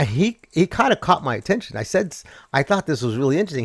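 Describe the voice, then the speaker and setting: A man speaks at a fairly high pitch with very wide pitch swings. The recording is very clean, with a silent background and a dry, close sound with no echo. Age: 60s. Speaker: finance commentary show host. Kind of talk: casual livestream commentary. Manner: fast.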